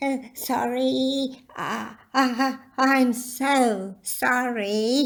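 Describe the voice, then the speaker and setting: A put-on character voice, female-sounding and high-pitched, timid in tone and very slow. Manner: timid, apologetic.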